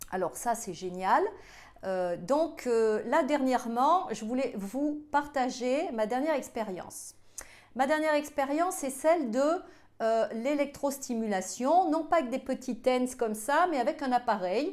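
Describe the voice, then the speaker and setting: A woman's high voice at a fairly slow pace, with lively intonation. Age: 50s. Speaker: health video creator. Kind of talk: casual vlog talk. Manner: halting, many hesitations.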